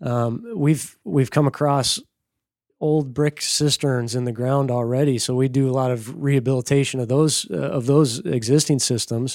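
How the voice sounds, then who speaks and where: A normal speaking voice with an American accent, moderate in pace, ordinary pitch variation, very clean recording with a silent background. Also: man, medium pitch for a man. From rural Minnesota. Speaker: rainwater harvesting business owner. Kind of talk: casual interview.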